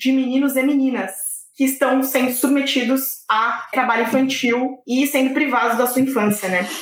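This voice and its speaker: Speaking at a fairly slow pace, a woman uses a high pitch and a monotone, flat intonation. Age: 20s. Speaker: lawyer. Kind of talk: casual chat.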